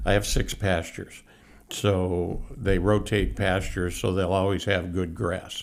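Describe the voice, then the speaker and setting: The voice carries vocal fry and fairly even intonation. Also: man, very deep, low pitch for a man, fairly slow pace. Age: 70s. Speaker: horse carriage tour operator. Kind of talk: casual interview. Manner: halting, many fillers.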